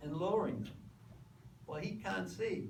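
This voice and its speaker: A man with an American accent talks amid audible room echo. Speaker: lecturer, former workplace safety official. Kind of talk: lecture.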